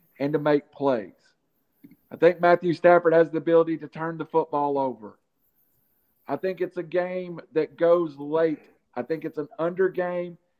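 Fairly even intonation and a moderate pace from a man pitched fairly high. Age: 50s. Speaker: sports podcast host. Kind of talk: casual chat.

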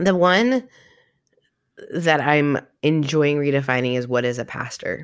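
A woman speaks at a fairly slow pace with a very deep, low pitch. Her pitch varies in an ordinary way, broken by long, frequent pauses. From Canada. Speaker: pastor and life coach. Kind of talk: casual interview chat.

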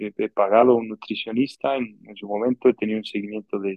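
An unremarkable speaking voice from a man at medium pitch, with fairly even intonation. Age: 30s. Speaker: podcast co-host. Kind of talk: casual chat.

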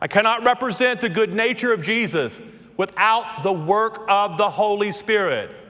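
A man talks at a fairly slow pace in a slight Southern US accent. His pitch is high, with ordinary variation. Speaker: pastor. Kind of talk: sermon. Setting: church.

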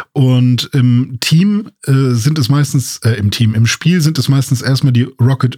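A dark, mellow tone carries some breathiness. Delivery is fairly slow, and the pitch moves in an ordinary way. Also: man. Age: 30s. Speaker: podcast co-host. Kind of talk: casual chat. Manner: hesitant with many fillers.

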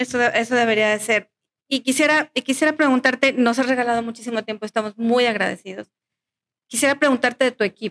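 Speaking very fast in a high voice, a woman keeps her intonation fairly even, recorded with a dry, close sound and no echo. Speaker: podcast host. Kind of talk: interview.

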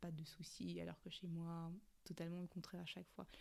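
A woman's fairly low-pitched voice. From Cameroon. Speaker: podcast host. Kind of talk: casual monologue.

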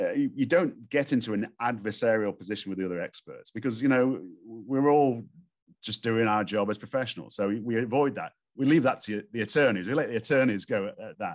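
Against a quiet background, a man talks at a fairly quick pace in a medium pitch with ordinary pitch variation. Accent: Stoke-on-Trent. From northern England. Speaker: expert witness and geotechnical engineer. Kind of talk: casual interview.

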